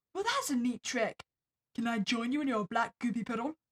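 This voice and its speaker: A woman puts on a character voice, high-pitched and raspy, talking at a fairly quick pace. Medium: solo performance. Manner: sarcastic.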